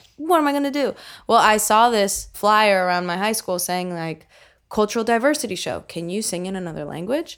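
In a very clean recording with a silent background, an ordinary speaking voice goes at a fairly quick clip. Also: woman, medium pitch for a woman, lively intonation. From central New Jersey, US. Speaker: singer-songwriter. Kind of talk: casual chat.

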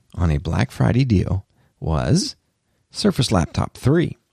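A man with an American accent speaks fairly slowly in a dark, mellow, somewhat breathy tone. His pitch swings very widely, and the sound is dry and close with no echo. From US South. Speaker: tech podcast host. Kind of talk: solo podcast monologue. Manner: animated.

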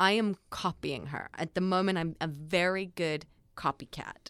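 A voice with an Australian accent comes through in a very clean recording with a silent background. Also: woman. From East Coast Australia. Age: 20s. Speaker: actress. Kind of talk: casual chat.

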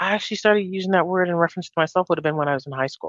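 This woman has a plain, everyday voice at a fairly low pitch, with a Canadian accent, lively intonation and a dry, close sound with no echo. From Winnipeg, Canada. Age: 50s. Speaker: executive director of a women's health clinic. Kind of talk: interview.

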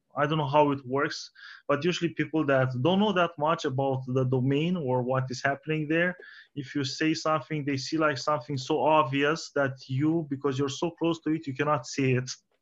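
A man with a Romanian accent speaks at a moderate pace in a fairly high pitch, his intonation fairly even against a quiet background. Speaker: podcast host. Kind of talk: interview.

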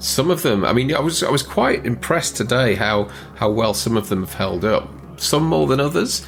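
The pitch swings very widely while music plays in the background. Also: man, medium pitch for a man, moderate pace. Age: 40s. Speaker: movie podcast co-host. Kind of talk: casual chat.

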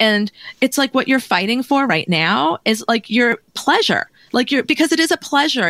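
A bright, sharp voice with vocal fry moves at a fairly quick pace through very wide pitch swings, in a dry, close sound with no echo. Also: woman. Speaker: podcast host and tarot reader. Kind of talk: casual interview conversation.

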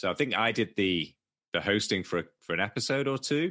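A man with a bright, sharp tone and lively intonation speaks against a quiet background. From Manchester, England. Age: 40s. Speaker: poker coach and podcaster. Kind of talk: casual interview chat. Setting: video call from Thailand.

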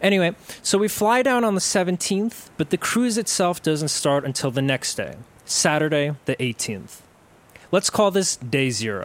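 A man speaks with a New York accent at a high pitch. His pitch swings very widely. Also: moderate pace. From New York, Staten Island. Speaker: podcast host and storyteller. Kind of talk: personal narrative storytelling.

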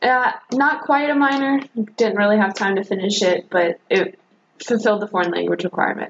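A woman speaks in a plain, everyday voice with an American accent. Her medium pitch holds at a very even loudness. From North Carolina (Jamestown, near Greensboro). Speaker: graduate student. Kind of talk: casual interview.

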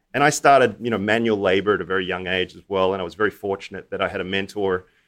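Someone talks at a very fast pace with fairly even intonation, in an Australian accent. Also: man, quiet background. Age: 40s. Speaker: hedge fund manager. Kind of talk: interview.

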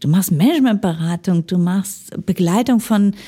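Recorded very cleanly over a silent background, a woman speaks at medium pitch and a moderate pace in a dark, mellow, somewhat breathy tone with very wide pitch swings. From Ruhr area, Germany. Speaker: management consultant. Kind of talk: interview. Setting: studio.

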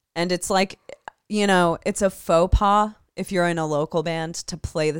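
A woman speaks at a moderate pace in an ordinary speaking voice, her fairly low pitch moving with fairly even intonation, on a very clean recording with a silent background and a dry, close sound with no echo. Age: 30s. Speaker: podcast co-host, band vocalist. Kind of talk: casual chat.

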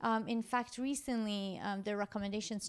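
A woman with an ordinary speaking voice, fairly high pitch, fairly even intonation and a moderate pace. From Iran, moved to US young. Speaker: gastroenterologist. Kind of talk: interview, explaining medical topics. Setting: in person.

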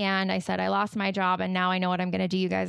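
In an American accent, a woman speaks. The recording is very clean, with a silent background. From Utah. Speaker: podcast guest, mother and life coach. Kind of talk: casual interview.

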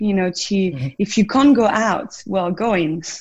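Somewhat breathy, a woman speaks at a medium pitch and a moderate pace with a French accent. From southern France. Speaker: wellness coach and former drinks brand ambassador. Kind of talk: casual interview.

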